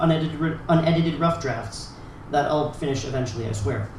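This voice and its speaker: Fairly quick speech with noticeable background noise. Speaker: open mic poet. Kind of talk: spoken word poetry performance; casual introduction to a poem. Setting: stage with audience. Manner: loud, yelling.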